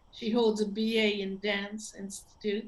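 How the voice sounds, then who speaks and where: A woman with a French accent speaks at a fairly high pitch. Her pace is fairly slow. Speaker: event host. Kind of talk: event introduction. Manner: halting.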